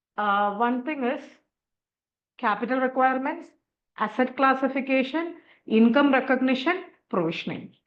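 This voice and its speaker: With audible room echo, a woman speaks at a moderate pace in a high pitch, with ordinary pitch variation and long, frequent pauses. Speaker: accounting exam teacher. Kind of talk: online lecture.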